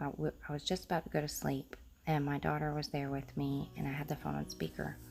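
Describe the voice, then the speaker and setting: A woman speaks quietly. Her pace is moderate. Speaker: craft video creator. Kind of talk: casual crafting tutorial. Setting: at home early morning. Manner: hesitant, many fillers.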